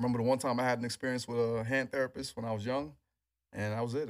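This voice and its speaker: Speech in an American accent comes at a very fast pace. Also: man. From New York City, Queens. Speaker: NFL strength and rehab trainer. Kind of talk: interview.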